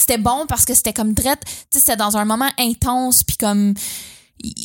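Speaking at a fairly quick pace in a Quebec accent, a woman with a fairly high pitch keeps her intonation fairly even, recorded very cleanly against a silent background with a dry, close sound and no echo. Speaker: podcast co-host. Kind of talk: casual chat.

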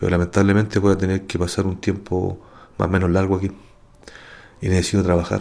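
Racing at a very fast pace, a man with a Chilean accent speaks in a very deep, low pitch. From Santiago, Chile. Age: 40s. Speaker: wrongly accused prisoner. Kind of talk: testimony.

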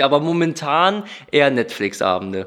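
Speaking at a moderate pace, a man uses a fairly high pitch that swings very widely. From Düsseldorf, Germany. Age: 20s. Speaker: painter. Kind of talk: interview.

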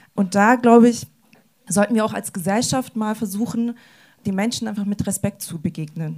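This voice is somewhat breathy, with a dark, mellow tone. It moves at a fairly quick pace with ordinary pitch variation. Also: woman. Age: 20s. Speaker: youth social worker. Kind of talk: panel discussion.

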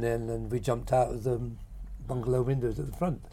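This is a man with a Norfolk accent. He talks at a fairly quick pace. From Great Yarmouth, Norfolk, eastern England. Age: 70s. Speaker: painter. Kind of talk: casual interview. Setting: outdoors, bird watching hide.

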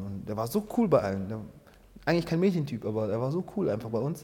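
A man with a dark, mellow tone and medium pitch speaks very fast in a somewhat breathy voice, with very wide pitch swings. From Angola, grew up in Germany from age 7. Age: 30s. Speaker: dancer and founder of a hip-hop organisation. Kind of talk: interview. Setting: dance studio. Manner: halting, many fillers.

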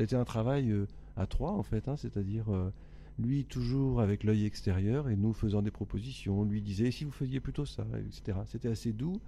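A man's somewhat breathy, fairly low voice at a moderate pace, with lively intonation. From France (Le Havre, Normandy). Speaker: singer-songwriter. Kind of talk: interview.

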